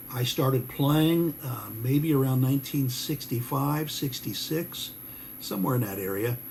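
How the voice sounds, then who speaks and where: A man's somewhat breathy voice at medium pitch. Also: ordinary pitch variation, fairly slow pace. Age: 60s. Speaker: guitar maker and musician. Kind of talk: casual video message.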